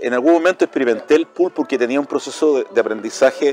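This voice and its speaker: With music in the background, a man at a fairly high pitch talks at a fairly quick pace and with ordinary pitch variation. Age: 60s. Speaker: chess player and university lecturer. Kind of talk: casual interview chat.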